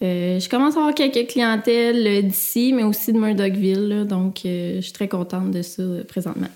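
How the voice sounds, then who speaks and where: Amid noticeable background noise, a woman speaks at medium pitch and a moderate pace with ordinary pitch variation. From Quebec, Victoriaville. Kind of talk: casual interview.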